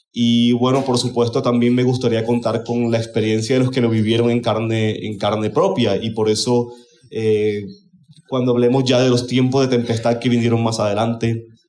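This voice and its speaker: Audible room echo surrounds a man talking at a medium pitch with monotone, flat intonation. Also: moderate pace. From Colombia, Caribbean region. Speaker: conference speaker. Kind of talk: conference talk.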